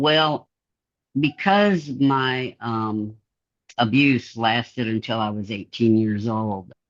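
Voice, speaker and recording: A man at medium pitch, with ordinary pitch variation, talks in a normal speaking voice. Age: 60s. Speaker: interviewee with dissociative identity disorder. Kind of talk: interview.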